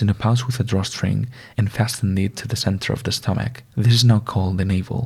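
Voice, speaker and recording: A man with a non-native accent speaks softly and somewhat breathily at a fairly quick pace, his fairly low voice dark and mellow with fairly even intonation. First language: not English. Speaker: ASMR content creator. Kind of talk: ASMR reading of a Greek myth. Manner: soft-spoken, gentle.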